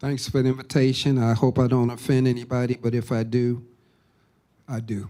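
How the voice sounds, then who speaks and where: A man speaks at a fairly quick pace and medium pitch. His tone is dark and mellow, with monotone, flat intonation. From Baltimore. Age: 70s. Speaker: pastor. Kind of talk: panel discussion.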